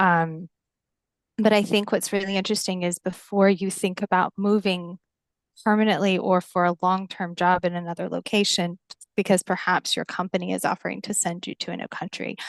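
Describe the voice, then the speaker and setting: A woman with an American accent talks at a medium pitch and a fairly quick pace, her intonation monotone and flat. The sound is dry and close with no echo, against a quiet background. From United States. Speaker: founder of a women's professional network. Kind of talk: webinar conversation. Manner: hesitant, with many fillers.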